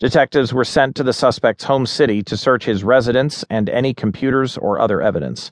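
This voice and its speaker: At a moderate pace, a man speaks in a normal speaking voice at a medium pitch with ordinary pitch variation, the sound dry and close with no echo. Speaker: audiobook narrator. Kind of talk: news reading. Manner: formal; even, measured.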